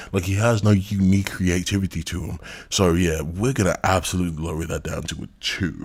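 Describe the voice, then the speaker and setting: A somewhat breathy man's voice, very deep and low, fairly even in intonation and fairly quick in pace. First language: not English. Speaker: commentary YouTuber. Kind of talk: critical commentary video. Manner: casual, profane rant.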